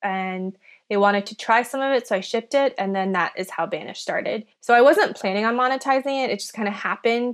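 A woman's fairly high voice at a very fast pace. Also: ordinary pitch variation, very clean recording, silent background. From Minnesota, US (born in China). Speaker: entrepreneur, skincare founder. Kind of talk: interview.

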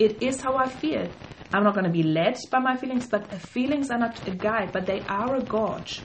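A woman with a German accent speaks at a moderate pace in a fairly high voice with ordinary pitch variation, over noticeable background noise. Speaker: podcast co-host. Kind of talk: casual chat.

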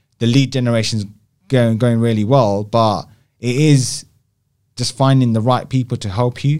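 The speech moves at a moderate pace with fairly even intonation and long, frequent pauses. The recording is very clean, with a silent background. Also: man, medium pitch for a man. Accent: London. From West London (Southall), England. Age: 40s. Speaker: brand design agency founder. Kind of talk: casual interview.

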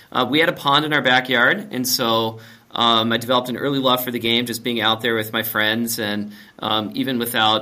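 A man's unremarkable speaking voice at a medium pitch, fairly quick pace and fairly even intonation. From Minnesota. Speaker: company owner and CEO. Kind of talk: interview.

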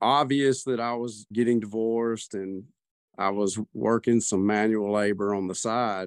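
A man speaks with a Southern US accent at a fairly low pitch and with fairly even intonation. The recording is very clean, with a silent background. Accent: Southern US, noticeable. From US South. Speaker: guest sharing personal experience. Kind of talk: casual conversational interview.

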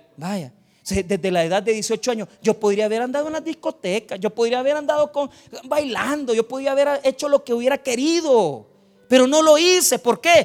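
With music in the background, a man speaks with lively intonation at an extremely high pitch, the sound dry and close with no echo. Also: moderate pace. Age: 40s. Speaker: pastor. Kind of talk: sermon.

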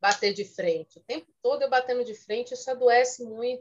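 A woman with a high pitch talks at a fairly quick pace, her pitch swinging very widely. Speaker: social psychologist. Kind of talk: casual chat.

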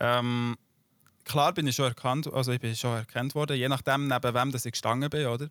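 On a very clean recording with a silent background, a man talks at a fairly quick pace with medium pitch and fairly even intonation. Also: dry, close sound with no echo. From Switzerland. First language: Swiss German (speaking German). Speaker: YouTuber and streamer. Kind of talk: casual interview.

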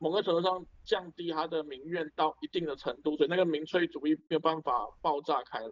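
A man at a high pitch and fairly quick pace, the sound dry and close with no echo. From Malaysia, Penang (primary school in Taiwan). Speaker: doctor. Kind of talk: casual discussion.

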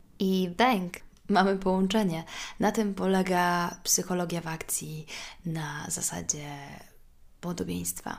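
A woman speaks at a very slow pace, with long, frequent pauses. Her pitch is fairly low and her intonation fairly even. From Poland, Warsaw. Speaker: podcast host. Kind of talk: solo podcast monologue. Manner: conversational.

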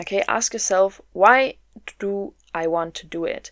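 With a German accent, a woman speaks at a medium pitch. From Germany. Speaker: podcast host, mindset coach. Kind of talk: solo motivational podcast talk.

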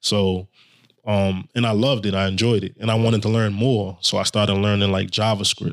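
A man speaks at a fairly quick pace in a flat monotone. His pitch is fairly low. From Brooklyn, New York (Haitian immigrant parents). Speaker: web developer, formerly incarcerated. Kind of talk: interview.

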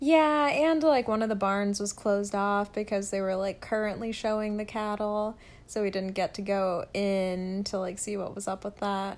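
A woman with an American accent speaks at a medium pitch and a moderate pace, with ordinary pitch variation. She has hardly any pauses, and the recording is very clean with a silent background. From US South, near a military base. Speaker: podcast co-host. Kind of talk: casual chat.

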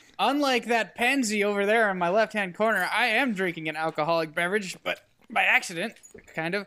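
A man's raised, projected voice, high-pitched and bright and sharp in tone, at a fairly quick pace with ordinary pitch variation, in a very clean recording with a silent background. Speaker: podcast co-host. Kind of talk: casual comedic banter.

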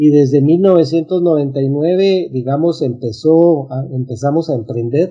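Very slow delivery with hardly any pauses and ordinary pitch variation, over music in the background. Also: man, fairly high pitch for a man. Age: 60s. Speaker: business coach. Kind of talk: interview.

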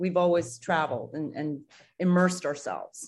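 In an American accent, a woman with a plain, everyday voice talks at a moderate pace and a fairly low pitch, with ordinary pitch variation. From Singapore and New York City. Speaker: former TV news anchor and realtor. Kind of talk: casual interview chat.

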